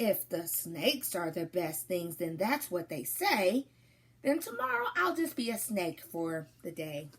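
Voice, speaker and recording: A woman speaks fairly slowly in a put-on character voice at a medium pitch. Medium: read story. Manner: playful, pleased with himself.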